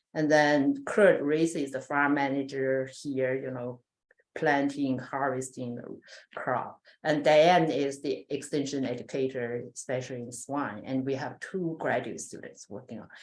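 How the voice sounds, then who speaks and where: A woman with a non-native accent speaks with a very deep, low pitch. Her intonation stays fairly even, with big swings in loudness. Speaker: animal science researcher. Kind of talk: research presentation. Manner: hesitant, many fillers.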